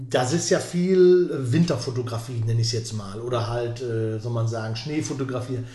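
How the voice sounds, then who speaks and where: Talking at a moderate pace with hardly any pauses, a man at medium pitch is heard with audible room echo. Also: ordinary pitch variation. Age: 50s. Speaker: podcast host and interviewer. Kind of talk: podcast interview.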